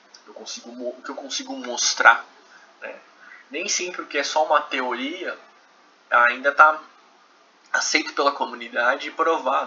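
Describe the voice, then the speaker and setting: A man with a Brazilian accent talks at a moderate pace with long, frequent pauses and big swings in loudness, over noticeable background noise. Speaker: professor. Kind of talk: lecture. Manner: conversational, frequent filler 'né'.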